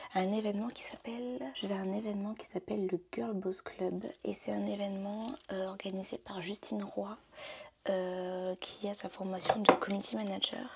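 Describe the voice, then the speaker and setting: Soft-spoken at a moderate pace, the voice has ordinary pitch variation and big swings in loudness, with noticeable background noise behind it. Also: woman, medium pitch for a woman. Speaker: vlogger. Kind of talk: casual vlog talk. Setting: at home getting ready. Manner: hesitant, many fillers.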